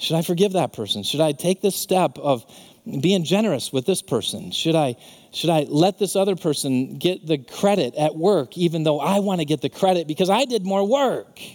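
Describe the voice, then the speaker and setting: Animated and with lively intonation, a man with a high pitch speaks at a moderate pace and very even loudness. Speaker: pastor. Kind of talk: sermon. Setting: church. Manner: earnest, animated preaching that turns to fervent, heartfelt prayer near the end.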